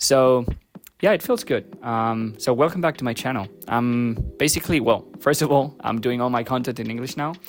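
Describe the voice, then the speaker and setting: A man talks with a Spanish accent at medium pitch. His pitch varies in an ordinary way. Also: moderate pace. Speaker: photography YouTuber. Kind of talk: casual tutorial to camera. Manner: hesitant, many fillers.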